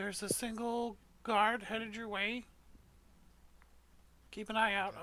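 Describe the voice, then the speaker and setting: A put-on character voice, female-sounding and fairly high, with monotone, flat intonation. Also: moderate pace. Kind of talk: military radio chatter. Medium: actual play. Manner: clipped, procedural.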